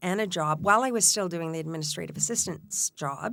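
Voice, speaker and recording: With a Canadian accent, a woman talks at a fairly low pitch with ordinary pitch variation, on a very clean recording with a silent background. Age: 60s. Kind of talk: interview conversation. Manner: halting.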